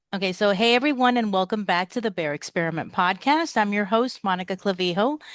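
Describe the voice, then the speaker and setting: A woman speaks in a normal speaking voice at a medium pitch, with lively intonation. The sound is dry and close with no echo, and the background is quiet. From Cuba-born, raised in US. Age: 40s. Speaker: podcast host. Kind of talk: podcast interview.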